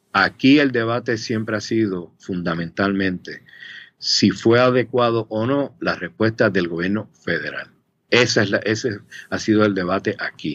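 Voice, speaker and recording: A man's fairly low voice at a fairly slow pace, with ordinary pitch variation and a quiet background. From Puerto Rico (Río Piedras). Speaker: policy analyst at a think tank. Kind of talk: interview. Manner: halting, with many fillers and repetitions.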